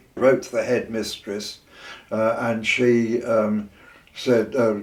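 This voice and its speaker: In a southern English accent, a man talks at a fairly slow pace. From southern England. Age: 80s+. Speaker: retired teacher and poet. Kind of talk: oral history interview. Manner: halting.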